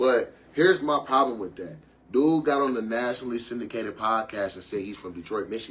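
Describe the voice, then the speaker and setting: A man with a medium pitch talks at a fairly quick pace, his intonation lively and his loudness swinging widely. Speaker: podcast host guest. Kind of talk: casual chat. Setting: live stream.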